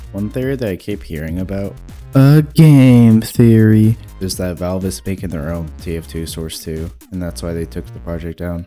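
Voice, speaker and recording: Over music in the background, a man with a very deep, low voice talks at a moderate pace with very wide pitch swings. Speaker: gaming video creator. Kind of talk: casual video essay voiceover.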